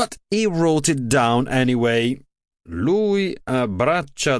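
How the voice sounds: Someone reads in a natural reading voice with lively intonation, and the background stays quiet.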